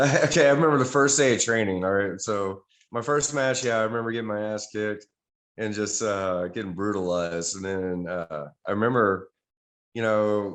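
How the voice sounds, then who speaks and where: A man speaks in an American accent at a moderate pace. His pitch is fairly low, with ordinary variation. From Texas. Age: 40s. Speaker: pro wrestler. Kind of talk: interview.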